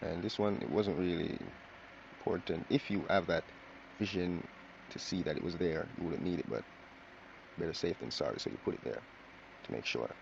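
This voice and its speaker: A man speaks in a very deep, low voice. His pace is fairly quick, broken by long, frequent pauses. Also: lively intonation. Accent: Jamaican. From Jamaica. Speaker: drawing tutorial creator. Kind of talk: tutorial. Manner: casual, chatty.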